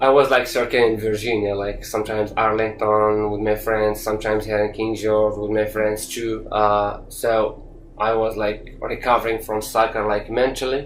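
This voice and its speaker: At a moderate pace with hardly any pauses, a man speaks in a fairly low, monotone, flat voice, with audible room echo around him. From Morocco. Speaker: youth soccer coach and former player. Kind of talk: interview. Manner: halting, many fillers and repetitions.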